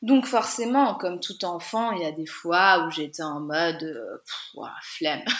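A woman speaks very slowly in a fairly low voice with lively intonation and big swings in loudness. Noticeable background noise can be heard. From France, Lorraine (Guénange). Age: 30s. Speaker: vintage clothing entrepreneur. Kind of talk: interview.

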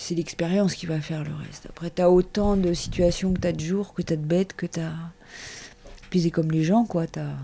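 A woman speaks in a fairly low pitch with a dark, mellow tone and flat, monotone intonation. Her loudness swings widely, and she hardly pauses at all. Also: moderate pace. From Paris suburbs, France. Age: 50s. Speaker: shepherdess. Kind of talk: interview. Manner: casual, hesitant.

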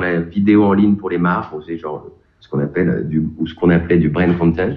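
A man is speaking. His pace is fairly quick. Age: 40s. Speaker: piano coach. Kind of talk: interview. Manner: halting, many repetitions and fillers.

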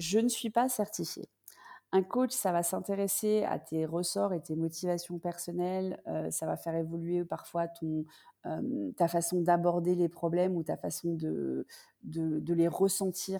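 A woman speaks at a fairly low pitch with a dark, mellow tone. Her pace is fairly slow, and her pitch variation is ordinary. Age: 40s. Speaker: business consultant. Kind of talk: interview conversation.

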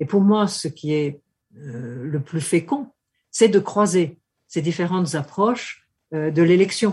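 Somewhat breathy, a woman speaks very slowly with lively intonation, leaving long, frequent pauses. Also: fairly low pitch for a woman. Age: 70s. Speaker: political scientist. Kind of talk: interview. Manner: hesitant.

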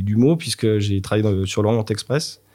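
Moderate pace and ordinary pitch variation from a man with a medium-pitched voice. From France, Nantes. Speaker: chef. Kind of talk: casual interview. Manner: hesitant, many fillers.

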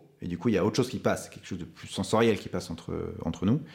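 The pace is very fast. A man speaks with ordinary pitch movement. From Paris suburbs, France. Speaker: film director. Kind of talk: interview.

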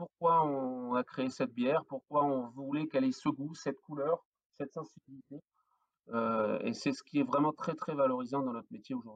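A man's fairly high voice, fairly even in intonation, at a moderate pace, with a dry, close sound and no echo. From northern France (Flanders). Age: 40s. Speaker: craft brewer, entrepreneur. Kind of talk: podcast interview. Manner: hesitant, many fillers and repetitions.

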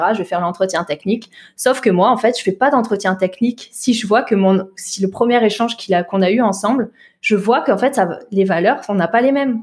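A woman at a medium pitch, energetic in tone, at a fairly quick pace with ordinary pitch variation. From southern Alsace, France (Mulhouse). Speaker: tech recruitment entrepreneur. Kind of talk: interview.

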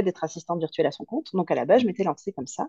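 A woman's medium-pitched voice has a dark, mellow tone and ordinary pitch variation, recorded with a dry, close sound with no echo. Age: 30s. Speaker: business mentor. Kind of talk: casual interview.

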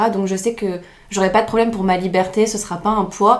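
Audible room echo surrounds a woman's medium-pitched voice. She speaks in a monotone, flat way. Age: 20s. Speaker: law student. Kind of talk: casual chat.

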